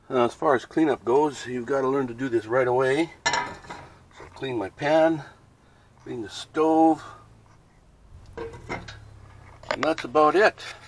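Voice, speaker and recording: A man speaks at a fairly slow pace with long, frequent pauses and ordinary pitch variation, over noticeable background noise. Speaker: home cook vlogger. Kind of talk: casual cooking tutorial. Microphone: phone near.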